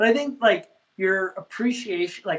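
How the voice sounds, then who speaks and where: At a moderate pace and with ordinary pitch variation, a man talks in an ordinary speaking voice. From Canada. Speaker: chef and food truck owner. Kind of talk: casual chat.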